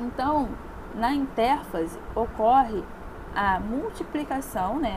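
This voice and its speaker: A woman speaks with lively intonation amid noticeable background noise and audible room echo. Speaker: school science teacher. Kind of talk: online class lecture.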